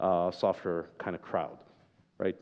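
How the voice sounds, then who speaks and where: A man speaks at a moderate pace. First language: not English. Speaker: software developer, conference speaker. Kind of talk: conference talk.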